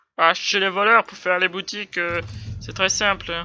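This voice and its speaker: The speaker is soft-spoken and goes at a fairly slow pace. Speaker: gaming youtuber. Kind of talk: let's play commentary. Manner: animated.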